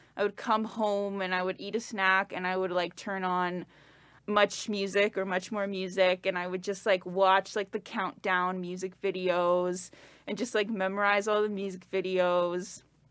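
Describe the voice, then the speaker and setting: A woman with a Canadian accent speaks at a moderate pace in a medium pitch with monotone, flat intonation, on a very clean recording with a silent background. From Canada. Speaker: performer and sound designer. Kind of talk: casual interview chat. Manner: casual, many fillers.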